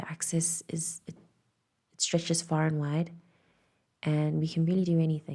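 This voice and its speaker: A woman whispers, somewhat breathy. The recording is very clean, with a silent background. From South Africa. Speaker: tarot reader. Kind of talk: intuitive channelling. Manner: whispering.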